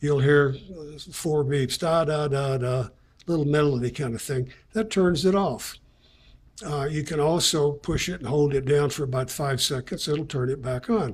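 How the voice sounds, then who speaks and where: A man talks at a moderate pace in a somewhat breathy voice. His pitch is fairly high and varies in an ordinary way. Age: 70s. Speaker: product reviewer. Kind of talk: product review tutorial. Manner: casual, hesitant with fillers.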